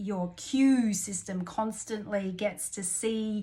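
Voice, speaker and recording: A woman with an Australian accent, fairly high in pitch, with fairly even intonation. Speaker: life coach. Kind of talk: self-help coaching talk. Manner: casual, unscripted, hesitant.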